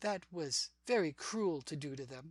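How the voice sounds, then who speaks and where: A put-on character voice at a middle pitch. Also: moderate pace. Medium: read story.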